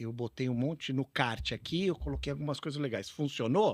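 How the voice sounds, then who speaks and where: With an unremarkable speaking voice at a medium pitch, a man talks at a moderate pace in a dry, close sound with no echo on a very clean recording with a silent background. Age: 60s. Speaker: retail technology consultant. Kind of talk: podcast interview. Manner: casual, conversational.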